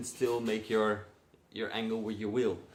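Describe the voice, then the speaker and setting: A man with a Dutch accent, medium pitch, moderate pace. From Netherlands. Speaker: car enthusiast vlogger. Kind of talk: casual vlog. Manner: hesitant, many fillers.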